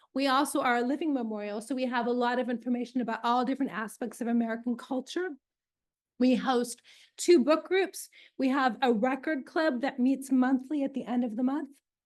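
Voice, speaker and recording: Over a quiet background, the speaker talks at a fairly quick pace with fairly even intonation, in a New York accent. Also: woman, high pitch for a woman. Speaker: library event host. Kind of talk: event introduction. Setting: in-person event, live-streamed, with audience.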